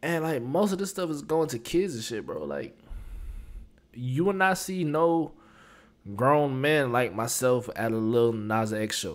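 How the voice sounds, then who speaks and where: A man's voice at a fairly slow pace with lively intonation. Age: 20s. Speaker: YouTube reaction host. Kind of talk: casual reaction commentary. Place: home room. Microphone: studio mic.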